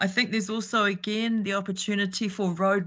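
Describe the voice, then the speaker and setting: A woman speaks with a New Zealand accent. Her pitch sits in the medium range. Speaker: public submitter at council hearing. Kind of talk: formal submission. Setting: video call.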